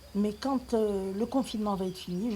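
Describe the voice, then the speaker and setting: A woman's somewhat breathy voice has a dark, mellow tone. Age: 60s. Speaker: retiree. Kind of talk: personal video rant. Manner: animated.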